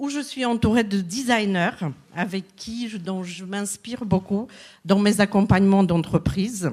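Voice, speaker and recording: On a very clean recording with a silent background, a woman speaks fairly slowly at a medium pitch, somewhat breathy, with ordinary pitch variation and big swings in loudness. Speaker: business coach. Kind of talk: conference talk.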